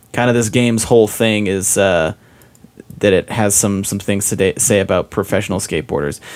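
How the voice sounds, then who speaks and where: Speaking with an American accent in an ordinary speaking voice, a man keeps a fairly low pitch, fairly even intonation and a fairly quick pace. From Utah. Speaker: podcast guest, gamer friend. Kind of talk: casual chat.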